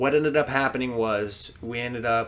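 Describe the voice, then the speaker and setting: Using a normal speaking voice, a man talks at a fairly slow pace with fairly even intonation. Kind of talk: casual podcast conversation about their past.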